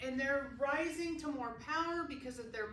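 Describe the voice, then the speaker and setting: A woman's high, bright, sharp voice with lively intonation at a moderate pace, with audible room echo. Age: 60s. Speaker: Bible study teacher. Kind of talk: Bible study group discussion.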